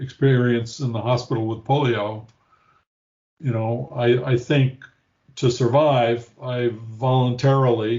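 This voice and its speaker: At a very slow pace, a man speaks in a medium pitch with monotone, flat intonation and a somewhat breathy quality. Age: 70s. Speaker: therapy patient. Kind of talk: interview testimony. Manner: halting.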